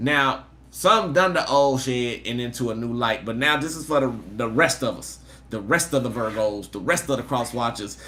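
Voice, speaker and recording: A man's medium-pitched voice with a bright, sharp tone, ordinary pitch variation, big swings in loudness and audible room echo. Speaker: tarot reader. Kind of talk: live tarot reading. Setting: livestream. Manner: fast; animated.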